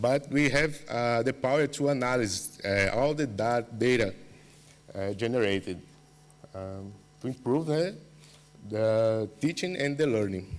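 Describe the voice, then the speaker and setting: Speaking at a fairly slow pace with a Portuguese accent, this voice has ordinary pitch variation and long, frequent pauses. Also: man, medium pitch for a man. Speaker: university researcher. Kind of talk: conference presentation. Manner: halting, many fillers.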